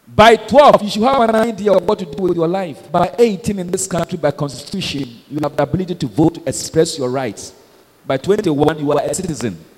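Against noticeable background noise, a man with a high pitch speaks at a fairly quick pace with lively intonation. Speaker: pastor. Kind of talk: sermon. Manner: animated.

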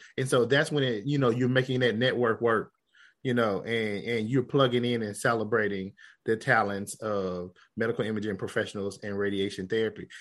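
A man with an American accent and an unremarkable speaking voice talks at a fairly quick pace against a quiet background. His medium pitch carries fairly even intonation. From Southeast Texas / Southwest Louisiana. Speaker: radiology application specialist and professional society leader. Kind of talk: interview.

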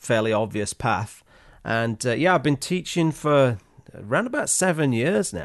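A man with a medium pitch and an English accent, at a moderate pace against a quiet background. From Yorkshire, England. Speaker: landscape photographer and YouTuber. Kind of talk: casual interview chat. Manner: halting, many repetitions.

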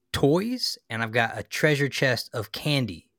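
A man speaks at a medium pitch and a fairly slow pace, with a playful, bright, sharp tone. The sound is dry and close with no echo, on a very clean recording with a silent background. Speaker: comic book fan podcast co-host. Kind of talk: casual banter about comics and movies. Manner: joking, playful.

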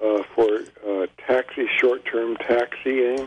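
A man speaks with an American accent. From Northern California. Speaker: caller. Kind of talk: call-in radio show. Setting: phone call.

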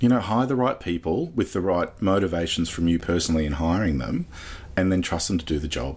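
Speaking at a fairly quick pace, a man uses a very deep, low pitch, with vocal fry and lively intonation. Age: 40s. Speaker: tech startup CEO and founder. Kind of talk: interview.

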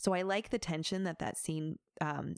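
A woman with a plain, everyday voice speaks at a fairly slow pace and a fairly low pitch. The recording is very clean with a silent background, and the sound is dry and close with no echo. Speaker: guest expert on psychology and fandom. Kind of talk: casual chat.

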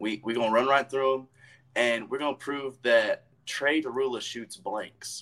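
The pitch varies in an ordinary way. It is an ordinary speaking voice. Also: man. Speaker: wrestler. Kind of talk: casual chat. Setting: video call. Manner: warm, affectionate.

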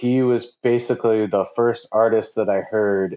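A man with a Midwestern US accent, medium in pitch, fairly even in intonation and fairly slow in pace. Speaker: DJ. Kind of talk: casual interview chat.

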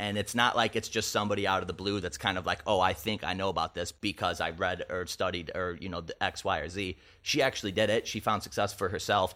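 Speaking with a Midwestern US accent, a man uses a fairly low pitch and a bright, sharp tone. He goes at a fairly quick pace with hardly any pauses, on a very clean recording with a silent background. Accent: US Midwest. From northern Illinois. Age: 20s. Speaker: talent agency entrepreneur. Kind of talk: casual chat. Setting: home studio.

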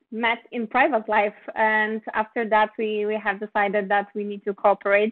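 Speaking with a Polish accent, a woman keeps her fairly high voice monotone and flat. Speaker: film producer. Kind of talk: interview.

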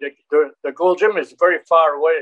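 A man speaks in a French Canadian accent. His pitch variation is ordinary. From Quebec. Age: 70s. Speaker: action actor and martial artist. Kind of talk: interview. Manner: halting.

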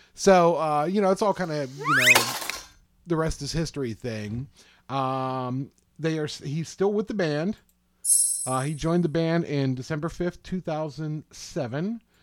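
In an American accent, an ordinary speaking voice moves at a fairly slow pace with ordinary pitch variation. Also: man, fairly high pitch for a man. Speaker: co-host panelist. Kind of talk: casual banter.

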